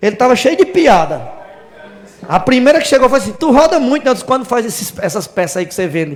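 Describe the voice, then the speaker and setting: A man's voice swings very widely in pitch. Noticeable background noise sits behind him. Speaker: preacher. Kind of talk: sermon. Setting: church.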